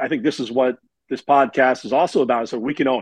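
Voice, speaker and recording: With fairly even intonation, a man speaks at a medium pitch in a normal speaking voice. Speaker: podcast host, broadcaster. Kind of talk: casual chat.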